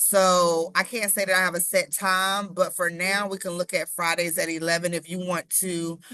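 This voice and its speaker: Against a quiet background, a bright, sharp tone carries flat, monotone intonation. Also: woman. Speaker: marketing consultant giving web training. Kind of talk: tutorial. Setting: live stream with screen share.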